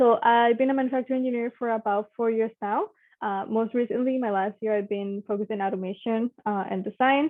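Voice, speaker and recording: A woman speaks in a Spanish accent at a fairly high pitch. Her pace is fairly quick and her intonation fairly even. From Mexico. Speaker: engineer. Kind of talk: panel talk. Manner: casual, with many fillers.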